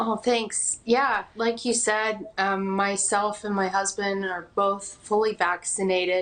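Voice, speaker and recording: A woman talks at a very slow pace with hardly any pauses. Her intonation is fairly even. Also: medium pitch for a woman. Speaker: interviewee, mother with covid. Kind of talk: TV news interview.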